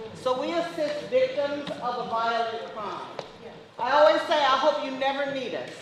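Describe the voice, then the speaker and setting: The speaker keeps a moderate pace and fairly even intonation over noticeable background noise and audible room echo. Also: woman. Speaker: victim services deputy. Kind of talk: presentation. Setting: event with audience, no mic. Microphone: no microphone, speaking unamplified.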